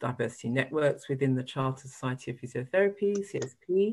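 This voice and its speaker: A woman with a British accent, very deep and low in pitch with ordinary pitch variation, in a very clean recording with a silent background. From UK. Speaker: physiotherapist. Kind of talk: panel discussion.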